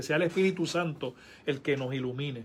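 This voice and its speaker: The speaker's voice is somewhat breathy, with ordinary pitch variation. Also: man. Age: 50s. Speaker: pastor. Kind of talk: casual chat.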